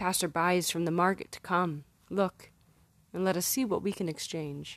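A woman speaks at a moderate pace and a fairly low pitch in a plain, everyday voice. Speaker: poet and musician. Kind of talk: poetry reading with a warm, intimate, spoken-word intro. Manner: playful, with bursts of laughter.

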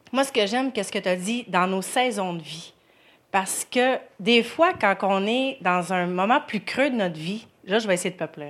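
With lively intonation and an unremarkable speaking voice, a woman at medium pitch talks at a fairly slow pace. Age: 30s. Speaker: churchgoer. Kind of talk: testimony. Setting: church.

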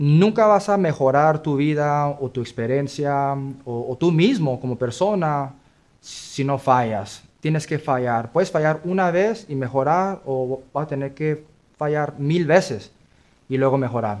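Speaking at a fairly slow pace, a man with an ordinary speaking voice has a fairly high pitch and ordinary pitch variation. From US Midwest, Kansas City. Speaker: credit repair business owner. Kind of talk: interview.

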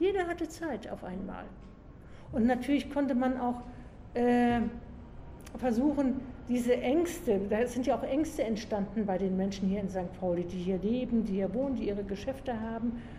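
At a moderate pace, a woman speaks with lively intonation and a high pitch, leaving long, frequent pauses amid audible room echo. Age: 60s. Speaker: community police officer. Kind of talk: interview. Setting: in-person interview on location.

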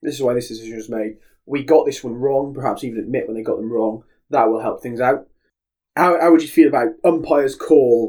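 Speaking fairly quickly, a man with a dark, mellow tone varies his pitch in an ordinary way. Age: 20s. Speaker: football history podcast co-host. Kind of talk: casual chat. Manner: animated.

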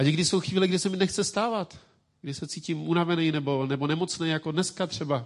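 A man speaks at a very fast pace in a fairly high voice with ordinary pitch variation. The background is quiet. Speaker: pastor. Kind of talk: sermon.

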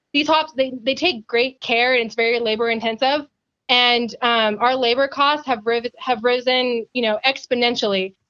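A bright, sharp tone with a US West Coast accent, fairly even intonation and a moderate pace. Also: woman, high pitch for a woman. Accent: US West Coast American. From US Pacific Northwest, Yakima Valley, Washington. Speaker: agricultural science communicator. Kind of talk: podcast interview.

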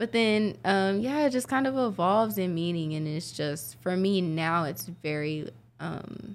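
A woman's medium-pitched voice with an American accent and very wide pitch swings. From Oklahoma City, Oklahoma. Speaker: rapper. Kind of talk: casual interview.

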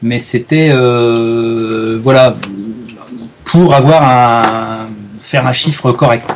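Speaking very slowly with fairly even intonation and long, frequent pauses, a man is heard over noticeable background noise. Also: medium pitch for a man. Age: 40s. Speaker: wildlife photographer. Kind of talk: interview. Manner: hesitant, many fillers.

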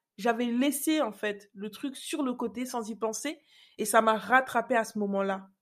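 A woman's fairly high voice, a plain, everyday voice, with ordinary pitch variation and a fairly slow pace. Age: 30s. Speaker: podcast host, confidence coach. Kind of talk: personal storytelling monologue. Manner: casual, conversational.

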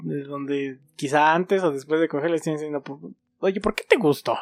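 A man with a Mexican accent, fairly high pitch and ordinary pitch variation, in a dry, close sound with no echo. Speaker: podcast co-host. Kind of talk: casual chat.

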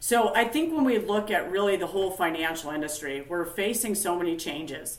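Against noticeable background noise and audible room echo, a woman with an American accent speaks with ordinary pitch variation. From US Upper Midwest, northern Minnesota. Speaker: company founder and industry expert. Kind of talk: interview.

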